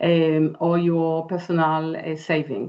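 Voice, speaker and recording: A woman speaks with an Israeli accent. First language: Hebrew. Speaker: interior designer and architect. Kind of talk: webinar presentation. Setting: online webinar.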